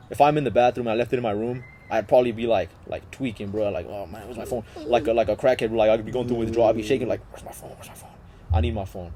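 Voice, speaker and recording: Speaking at a very fast pace in a Spanish accent, a man with a medium pitch and an animated tone swings widely in loudness over noticeable background noise. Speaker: podcast host. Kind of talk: casual chat.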